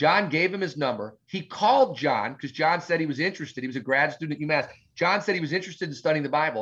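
An American-accented man speaks at a very fast pace. His fairly high voice has an animated tone. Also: hardly any pauses. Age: 40s. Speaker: pastor. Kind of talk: interview. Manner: loud.

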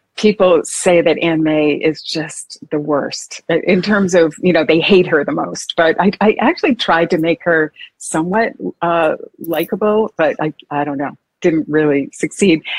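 A woman with an American accent speaks in a plain, everyday voice at a fairly low pitch and a fairly slow pace. Her pitch varies in an ordinary way, and the sound is dry and close with no echo. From Massachusetts. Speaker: historical fiction novelist. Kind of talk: interview.

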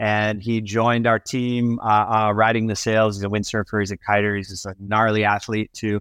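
A man with an American accent speaks in a normal speaking voice at a medium pitch, with fairly even intonation and a dry, close sound with no echo. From US Midwest and Florida. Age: 50s. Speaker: windsurf sail and wing designer. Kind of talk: casual interview. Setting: remote call from home.

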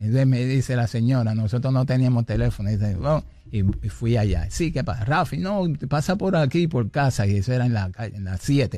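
Lively intonation marks a man speaking at a fairly quick pace. His tone is dark and mellow, at a medium pitch. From Puerto Rico. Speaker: salsa pianist and arranger. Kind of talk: interview.

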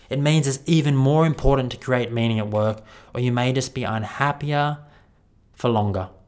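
Here is a man with an Australian accent. His pitch sits at a medium level. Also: ordinary pitch variation, moderate pace. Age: 30s. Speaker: podcast host and wellbeing speaker. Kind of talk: keynote talk.

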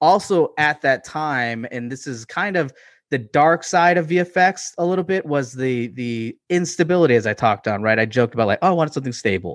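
With an ordinary speaking voice, a man talks at a fairly quick pace with hardly any pauses, his fairly high pitch moving in lively intonation over a quiet background. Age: 30s. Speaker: visual effects professional. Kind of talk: casual chat.

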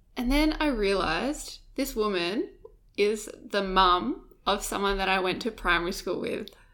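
A woman's voice with very wide swings in pitch. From Perth, Western Australia. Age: 20s. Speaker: digital content producer. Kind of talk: casual chat. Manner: giggly.

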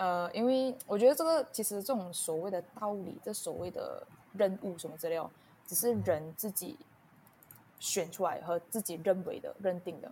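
At a moderate pace, a woman with a medium pitch speaks with lively intonation and big swings in loudness. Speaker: podcast guest sharing personal story. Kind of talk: casual interview chat. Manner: halting, many fillers.

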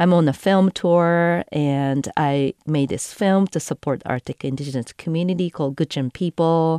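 A woman with a Japanese accent speaks at a fairly slow pace, her tone dark and mellow at a fairly low pitch with ordinary variation. The sound is dry and close with no echo, and the background is quiet. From Japan, Tokyo area. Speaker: environmental filmmaker and cyclist. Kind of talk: storytelling. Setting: studio.

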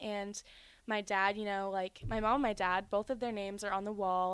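In a normal speaking voice, a woman talks at a moderate pace and medium pitch on a very clean recording with a silent background. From North Carolina (born in Georgia). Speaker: college gymnast. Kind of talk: casual chat.

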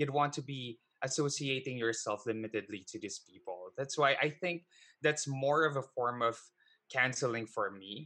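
A man with a Filipino accent speaks at a moderate pace in a medium-pitched voice with a bright, sharp tone. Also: ordinary pitch variation. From Philippines. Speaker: online show host and financial advisor. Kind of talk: interview.

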